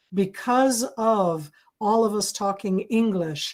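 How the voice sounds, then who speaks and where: With an American accent, a woman speaks at a medium pitch and a very slow pace. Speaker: military intelligence analyst, lecturer. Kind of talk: webinar lecture. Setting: video webinar. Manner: deliberately slowed and clear.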